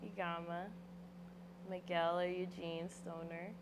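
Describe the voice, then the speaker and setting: Over noticeable background noise and audible room echo, a woman speaks very slowly in a fairly low, monotone, flat voice. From Philadelphia area, US. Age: 20s. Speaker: rapper. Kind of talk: interview. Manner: casual.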